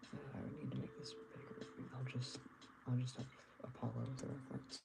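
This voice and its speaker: A man speaks quietly at a fairly quick pace. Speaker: artist livestreamer. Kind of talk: casual livestream chat while drawing. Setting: livestream from bedroom. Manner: quiet at start of stream; hesitant, many fillers.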